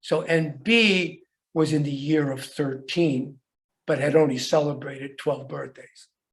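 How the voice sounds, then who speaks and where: Audible room echo follows a man as he speaks fairly slowly. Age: 70s. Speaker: archaeologist. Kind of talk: lecture. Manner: halting.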